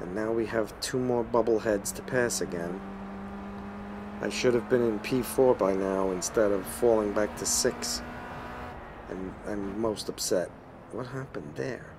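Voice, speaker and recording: Speaking with a New York accent, a man goes at a fairly slow pace with long, frequent pauses over noticeable background noise. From Brooklyn, New York. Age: old. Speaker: video game streamer. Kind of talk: live gameplay commentary. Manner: animated.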